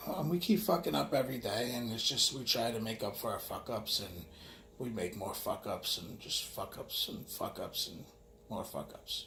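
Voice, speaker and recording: Speaking at a moderate pace, a man talks with a New York accent. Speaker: vlogger. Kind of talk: casual monologue. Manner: halting.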